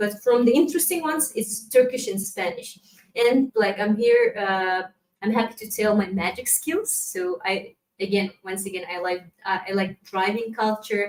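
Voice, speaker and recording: At a moderate pace, a woman with a Kazakh accent talks in a fairly high pitch with ordinary pitch variation. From Kazakhstan. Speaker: community manager. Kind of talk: conference presentation. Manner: halting.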